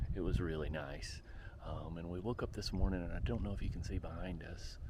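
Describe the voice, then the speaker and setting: Lively intonation and vocal fry in a man's very deep, low voice. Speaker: travel vlogger. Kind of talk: casual vlog narration. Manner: quiet, subdued.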